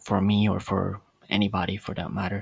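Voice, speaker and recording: At a fairly slow pace, a man talks with a non-native accent. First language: not English. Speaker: podcast host. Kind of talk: casual monologue. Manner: hesitant, many fillers.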